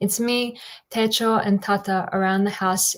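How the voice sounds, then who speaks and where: In an Australian accent, a woman speaks at a moderate pace and medium pitch with fairly even intonation. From Australia, Bosnian-Serbian-Croatian family. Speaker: poet. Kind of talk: poetry reading.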